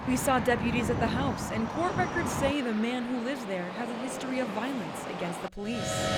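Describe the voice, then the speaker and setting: A woman's high-pitched voice with an American accent, at a fairly quick pace with hardly any pauses and ordinary pitch variation, over noticeable background noise. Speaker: TV reporter. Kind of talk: field report package voiceover.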